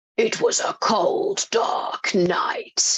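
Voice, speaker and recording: A raspy, put-on character voice at an extremely high pitch, delivered in a dramatic tone. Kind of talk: cinematic voiceover.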